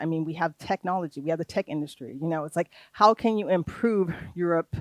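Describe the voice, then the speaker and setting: A fairly low-pitched woman's voice in an American accent, dry and close with no echo, on a very clean recording with a silent background. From United States. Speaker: trainer on research funding. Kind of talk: workshop lecture. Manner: hesitant, many fillers.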